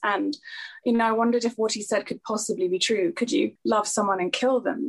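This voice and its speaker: Fairly high, somewhat breathy speech from a woman, with ordinary pitch variation. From Singapore. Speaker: novelist. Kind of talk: interview.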